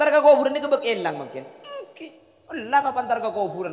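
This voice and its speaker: Noticeable background noise fills the recording. Through it, a man speaks fairly quickly. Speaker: Islamic preacher. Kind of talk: religious sermon to a live audience.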